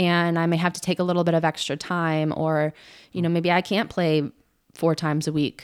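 A woman's fairly low voice at a moderate pace, very even in loudness, with a monotone, flat intonation, on a very clean recording with a silent background. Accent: American. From Southern California. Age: 30s. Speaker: semi-pro soccer player. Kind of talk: casual interview. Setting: at her house.

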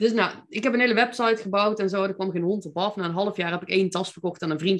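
A woman is speaking. She has a Brabant accent. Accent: southern Dutch (Brabant). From North Brabant, Netherlands (Veldhoven). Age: 40s. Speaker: mindset coach and entrepreneur. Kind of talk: podcast interview.

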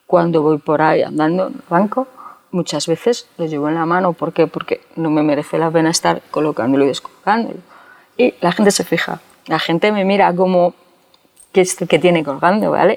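In a normal speaking voice, a woman talks at a fairly quick pace and fairly low pitch with ordinary pitch variation, the sound dry and close with no echo. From Spain, Segovia province. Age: 40s. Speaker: bank employee, deaf with cochlear implant. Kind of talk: interview.

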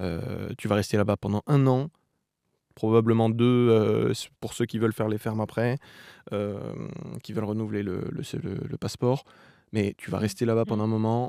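The sound is dry and close with no echo. A man talks at a fairly slow pace in a medium pitch. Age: 20s. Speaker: journalism student, former working-holiday traveller. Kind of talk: interview, casual travel story. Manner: hesitant, many filler sounds.

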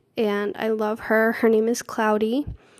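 At a very slow pace, a woman talks at a fairly high pitch with monotone, flat intonation. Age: 20s. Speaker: podcast host. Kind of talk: casual monologue.

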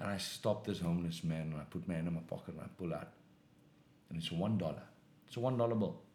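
The speech runs at a very fast pace yet has long, frequent pauses, with ordinary pitch variation. The tone is dark and mellow, and audible room echo fills the recording. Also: man, very deep, low pitch for a man. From South Africa. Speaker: professional boxer. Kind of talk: testimony.

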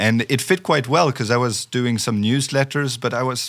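A man talks with a French accent. The recording is very clean, with a silent background. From France. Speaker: sales professional. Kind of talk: interview. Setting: studio.

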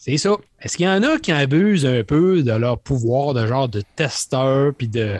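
A man with a Quebec accent talks at a fairly slow pace and a fairly high pitch, with lively intonation. The sound is dry and close with no echo, against a quiet background. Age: 50s. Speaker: gaming podcast host. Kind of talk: casual chat.

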